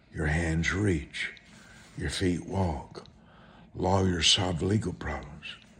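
A man with a very deep, low pitch and ordinary pitch variation talks at a very slow pace, with audible room echo. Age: 70s. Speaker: televangelist preacher. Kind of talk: sermon.

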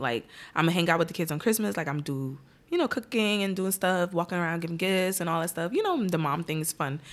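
With an American accent, a woman speaks at a fairly quick pace and medium pitch in a bright, sharp tone. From Irvington, New Jersey. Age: 30s. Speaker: podcast guest, mother. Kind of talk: casual chat.

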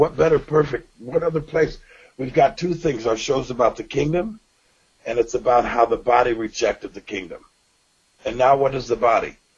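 At a moderate pace, a man speaks in a somewhat breathy voice, fairly high in pitch, with ordinary pitch variation. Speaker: podcast host. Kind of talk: casual chat.

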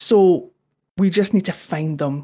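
On a very clean recording with a silent background, a woman with a Scottish accent talks at a fairly slow pace in a fairly low pitch. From Scotland. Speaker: podcast co-host. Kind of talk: casual chat.

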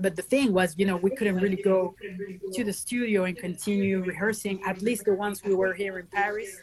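Fairly quick, fairly even speech over noticeable background noise. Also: woman, medium pitch for a woman. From Venezuela and France. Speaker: band guitarist. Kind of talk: casual interview chat. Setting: video call.

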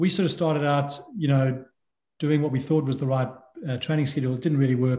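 A man's dark, mellow voice at a medium pitch, somewhat breathy, at a very fast pace. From South Africa. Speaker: endurance swimmer. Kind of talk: interview. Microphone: echoey room.

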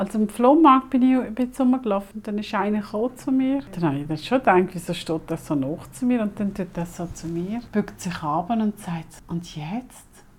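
A woman at medium pitch and moderate pace, a plain, everyday voice. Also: lively intonation. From Switzerland (arrived age five). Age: 50s. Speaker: mother telling her life story. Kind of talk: casual family conversation.

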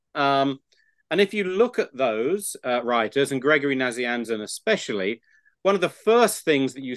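With a plain, everyday voice, a man talks at a fairly high pitch with lively intonation against a quiet background. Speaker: theologian professor. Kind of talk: interview discussion.

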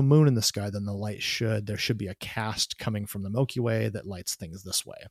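Fairly quick male speech at medium pitch, dry and close with no echo, on a very clean recording with a silent background. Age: 40s. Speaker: photography podcast host. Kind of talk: casual interview. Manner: halting, many fillers.

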